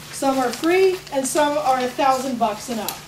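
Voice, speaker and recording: The pace is moderate, with ordinary pitch variation. Noticeable background noise and audible room echo are present. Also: woman. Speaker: arts educator presenting a teacher workshop. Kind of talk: workshop presentation. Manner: casual, with many fillers.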